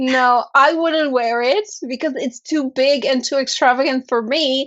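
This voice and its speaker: High-pitched woman with a non-native accent, fairly slow pace and ordinary pitch variation. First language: not English. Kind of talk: casual chat.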